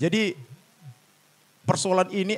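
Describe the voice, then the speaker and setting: A man talks in a Medan accent. His pace is moderate. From Indonesia, Medan (North Sumatra). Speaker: labor activist and party candidate. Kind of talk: podcast interview. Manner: halting, many fillers.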